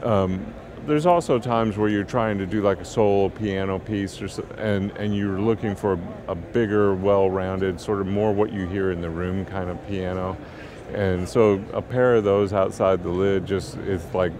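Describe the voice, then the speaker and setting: There is noticeable background noise behind a man whose pitch is fairly low. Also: moderate pace, dry sound with no echo. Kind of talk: interview answer. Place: studio. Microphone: headset.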